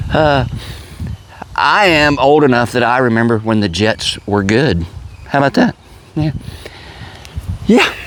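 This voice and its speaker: Noticeable background noise sits behind a man of medium pitch whose intonation is lively and whose loudness stays very even. He speaks at a fairly slow pace with long, frequent pauses. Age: 60s. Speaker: vlogger. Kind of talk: casual monologue.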